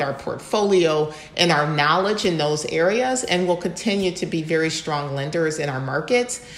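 Speaking with an American accent, a woman with a fairly low pitch is heard amid noticeable background noise and audible room echo. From US Midwest, Ann Arbor, Michigan. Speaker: development finance executive. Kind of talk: interview.

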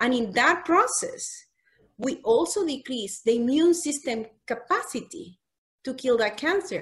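With a Spanish accent, a high-pitched woman talks at a fairly slow pace, her pitch swinging very widely. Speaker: physician. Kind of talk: casual chat.

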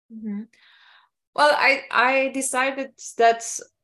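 A woman speaks at a fairly slow pace in a Polish accent. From Poland. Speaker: entrepreneur and mixologist. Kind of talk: interview.

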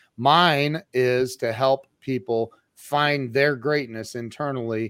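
Recorded with a dry, close sound and no echo, a man speaks at a medium pitch with ordinary pitch variation. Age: 50s. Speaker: motivational coach. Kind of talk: casual interview. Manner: animated.

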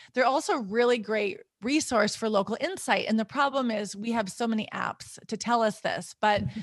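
A woman with a normal speaking voice talks at a moderate pace, with hardly any pauses. Her pitch is fairly high with ordinary variation, and the background is quiet. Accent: American. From US Upper Midwest, North Dakota. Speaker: intercultural consultant. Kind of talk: interview.

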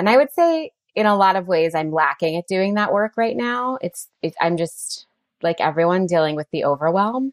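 Here is a woman with an ordinary speaking voice, medium in pitch, talking at a moderate pace with lively intonation. The sound is dry and close, with no echo. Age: 40s. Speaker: infertility coach and actress. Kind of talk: casual chat.

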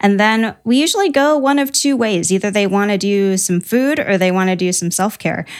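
A woman with a Midwestern US accent talks at a moderate pace, hardly pausing at all. Her medium pitch carries lively intonation, and her loudness is very even. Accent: US Midwest. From Ohio. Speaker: small business owner. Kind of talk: interview.

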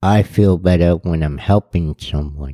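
A dark, mellow tone in an American accent, fairly slow and fairly even, with a dry, close sound and no echo. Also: man. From Boston, Massachusetts (Roxbury). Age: 50s. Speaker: former prisoner, shelter resident. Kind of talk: testimony.

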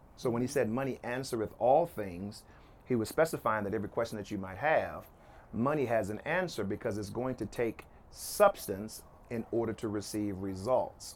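Speaking at a moderate pace in a normal speaking voice, a man with an American accent keeps to a medium pitch with ordinary pitch variation. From Oklahoma City. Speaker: entrepreneur and preacher. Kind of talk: interview. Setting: rooftop of his house.

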